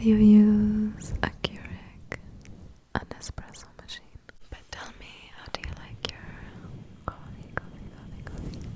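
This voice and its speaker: The whispering goes at a fairly slow pace, with noticeable background noise behind it. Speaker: ASMR creator. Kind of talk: soft-spoken ASMR ramble to camera. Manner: whispered, soft-spoken, rambling.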